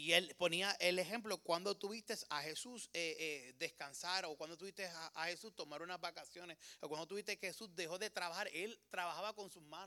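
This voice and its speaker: At a fairly quick pace with hardly any pauses, a man talks in a high, bright, sharp voice with ordinary pitch variation. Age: 30s. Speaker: preacher. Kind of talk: sermon. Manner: animated.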